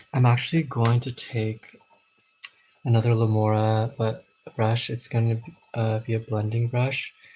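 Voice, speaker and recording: A soft-spoken man at a medium pitch, with fairly even intonation, a moderate pace, and long, frequent pauses. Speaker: makeup vlogger. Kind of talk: tutorial.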